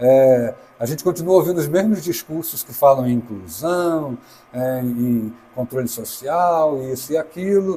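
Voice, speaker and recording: A fairly slow pace with ordinary pitch variation and big swings in loudness. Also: man. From Brazil, Brasília. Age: 60s. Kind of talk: interview. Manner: halting.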